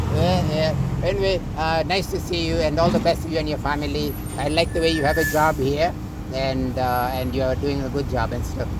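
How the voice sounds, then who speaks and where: Someone speaks at a fairly quick pace in a Kenyan accent, with noticeable background noise and audible room echo. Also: man. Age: 60s. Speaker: vlogger. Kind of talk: casual chat. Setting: outdoors. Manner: halting.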